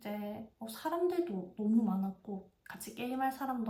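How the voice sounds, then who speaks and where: This is a woman speaking at a fairly high pitch. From South Korea, Busan (Gyeongsang). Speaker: vlogger. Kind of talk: casual review monologue.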